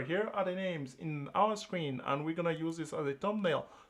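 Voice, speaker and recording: With a French accent, a man speaks at a high pitch. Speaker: trading channel host. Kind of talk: live stream trading broadcast. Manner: animated, repetitive.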